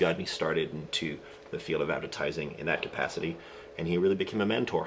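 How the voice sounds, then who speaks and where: A man speaks at a fairly quick pace. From France (Paris). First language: French. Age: 30s. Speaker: film and commercial director. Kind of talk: interview.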